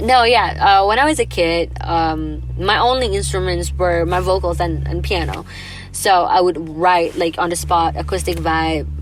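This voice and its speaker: A woman with an Indonesian accent speaks at a moderate pace, with noticeable background noise and audible room echo. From Indonesia, Jakarta. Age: 20s. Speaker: singer. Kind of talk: casual interview chat. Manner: casual, filler-heavy.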